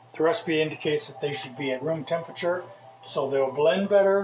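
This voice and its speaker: With music playing behind him, a man speaks at a moderate pace in a high voice, with ordinary pitch variation. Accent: American. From Southern California (Mojave Desert). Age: 60s. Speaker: cooking video host. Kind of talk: cooking tutorial. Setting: home kitchen. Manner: casual, hesitant with fillers.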